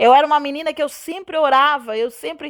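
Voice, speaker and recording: The speaker sounds animated, keeping a moderate pace and ordinary pitch variation. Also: woman. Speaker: gospel radio presenter and preacher. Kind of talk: testimony. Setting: radio program.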